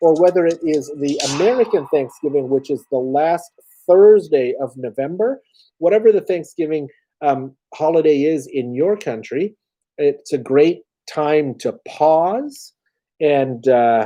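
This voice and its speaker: Speaking at a fairly slow pace, a man with a fairly high pitch and a dark, mellow tone uses lively intonation. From Canada. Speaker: YouTuber. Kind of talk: live stream chat. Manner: hesitant, many fillers.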